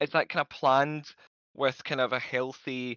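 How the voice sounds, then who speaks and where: This man speaks with a Scottish accent at a medium pitch. His intonation stays fairly even. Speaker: community member asking questions. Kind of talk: Q&A question. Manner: fast.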